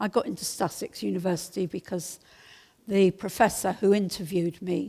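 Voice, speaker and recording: A woman speaks with vocal fry in a dark, mellow tone at a medium pitch. The recording is very clean, with a silent background. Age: 70s. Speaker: documentary photographer. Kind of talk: talk to an audience. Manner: halting.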